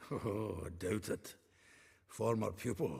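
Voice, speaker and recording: Using a put-on character voice, a man speaks in a raspy, fairly low pitch at a fairly slow pace. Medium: video game. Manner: jovial, laughing.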